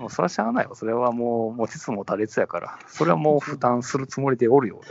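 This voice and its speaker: A man with a Kansai accent talks very fast at medium pitch, with ordinary pitch variation and big swings in loudness. Noticeable background noise is present. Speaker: podcast co-host. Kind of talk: casual chat. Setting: phone call from a train station platform.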